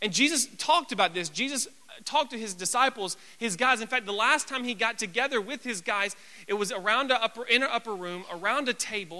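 Projecting a raised voice, a man speaks at a fairly quick pace in an extremely high pitch with a bright, sharp tone and ordinary pitch variation. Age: 20s. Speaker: youth pastor. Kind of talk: sermon. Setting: church. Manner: loud.

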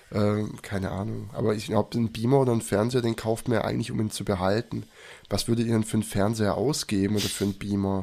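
Very fast and fairly even in intonation, a man talks in a dark, mellow tone at a fairly low pitch on a very clean recording with a silent background. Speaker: podcast co-host. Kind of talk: casual chat.

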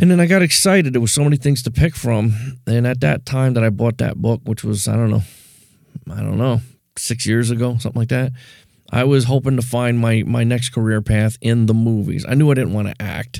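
Fairly quick in pace, a man uses an ordinary speaking voice at a medium pitch with ordinary pitch variation. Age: 50s. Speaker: podcast host. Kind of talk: solo monologue.

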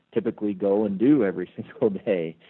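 A man with an ordinary speaking voice talks at a fairly low pitch with ordinary pitch variation. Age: 30s. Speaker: business executive and charity founder. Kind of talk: interview.

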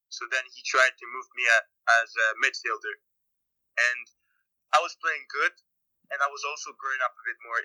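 In a Quebec accent, a man speaks at a moderate pace with long, frequent pauses and big swings in loudness. The sound is dry and close, without echo. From Quebec, Montreal. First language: French. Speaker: professional soccer player. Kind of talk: interview.

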